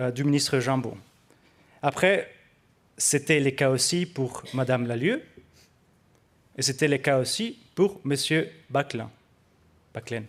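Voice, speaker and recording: With a non-native accent, a man with a fairly high pitch speaks at a very slow pace, his pitch varying in an ordinary way. He leaves long, frequent pauses, and the very clean recording has a silent background. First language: not French (speaking French). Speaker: researcher. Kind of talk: conference presentation. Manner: hesitant, many fillers.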